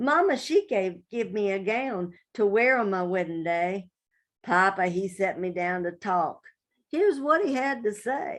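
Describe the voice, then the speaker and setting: A woman with a West Virginia accent speaks with lively intonation against a quiet background. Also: medium pitch for a woman, fairly slow pace. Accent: West Virginia Appalachian. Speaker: poet. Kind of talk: poetry reading.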